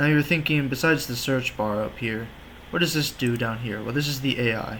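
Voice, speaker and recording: This man has a plain, everyday voice at a medium pitch, speaking at a fairly quick pace with ordinary pitch variation. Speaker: website tutorial video maker. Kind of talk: screen-recorded tutorial. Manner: casual, joking.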